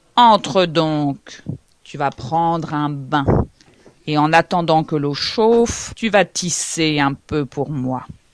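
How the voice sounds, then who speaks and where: Creaky and very slow, this put-on character voice sits at a middle pitch. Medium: read story.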